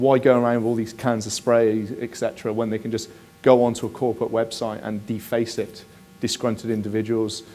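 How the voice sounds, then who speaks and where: Music plays in the background as a man talks with a Bristol accent. His intonation is monotone and flat, and his pace is fairly quick. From southwest England, Bristol. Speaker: security specialist. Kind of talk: conference presentation. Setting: conference stage with audience. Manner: conversational, many fillers.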